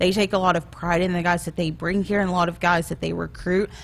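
The talking moves at a very fast pace, with noticeable background noise behind it. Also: woman. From Arkansas. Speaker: college football recruiting director. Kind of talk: casual interview. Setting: studio.

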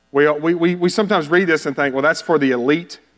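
Talking at a fairly quick pace in a Texan accent, a man with a fairly high pitch and ordinary pitch variation comes through in a very clean recording with a silent background. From Texas (Bowie). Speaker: missionary. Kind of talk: sermon.

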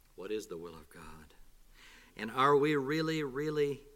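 A man's fairly quick speech carries audible room echo. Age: 40s. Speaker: visiting preacher. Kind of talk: sermon. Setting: church.

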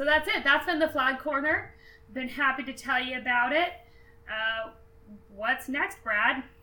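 A raised, projected voice with an American accent moves at a fairly slow pace. Long, frequent pauses break up the speech. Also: woman, high pitch for a woman, ordinary pitch variation. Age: 20s. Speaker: podcast co-host. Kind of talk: casual educational chat.

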